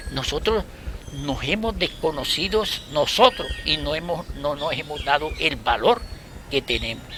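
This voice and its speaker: A man with a fairly high pitch speaks with lively intonation at a fairly slow pace, and noticeable background noise is present. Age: 70s. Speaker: school founder and local historian. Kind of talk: community talk.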